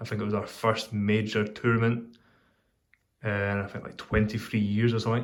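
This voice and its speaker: Speaking fairly quickly with a Scottish accent, a man keeps a fairly low pitch and a monotone, flat intonation. The room echo is audible. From Scotland. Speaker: pipe smoking video host. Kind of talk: casual chat. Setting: workshop.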